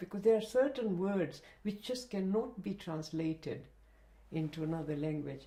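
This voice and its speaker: Dark and mellow in tone, a woman's voice sits at a medium pitch. She speaks at a moderate pace with ordinary pitch variation. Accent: Gujarati. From Zanzibar, East Africa. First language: Kutchi. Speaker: retired educationist and librarian. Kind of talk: oral history interview. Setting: interviewee's home.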